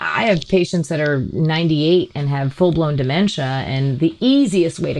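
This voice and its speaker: Over noticeable background noise, a woman with a very deep, low pitch talks at a moderate pace with ordinary pitch variation. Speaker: comedian and healthcare worker. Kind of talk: casual chat.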